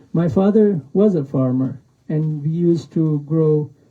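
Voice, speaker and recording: A man talks in a somewhat breathy voice. His pitch is fairly high. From Pakistan, Afghan refugee camp. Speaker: author. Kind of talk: book talk with reading. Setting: bookstore event with audience. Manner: halting.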